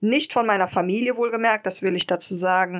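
This very clean recording has a silent background. A woman with a fairly high voice speaks at a moderate pace with ordinary pitch variation. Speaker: podcast co-host. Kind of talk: interview.

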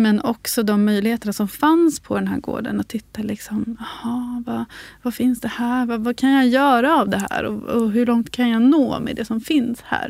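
A woman's unremarkable speaking voice, fairly high in pitch, at a moderate pace with ordinary pitch variation. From Sweden, Uppsala, grew up on a farm. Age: 30s. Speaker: craft author and tailor. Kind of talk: casual chat. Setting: studio.

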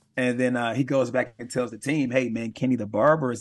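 A normal speaking voice with an American accent, fairly quick in pace and fairly even in intonation, over a quiet background. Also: man. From Milwaukee, Wisconsin. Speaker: pastor and team chaplain. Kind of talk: interview.

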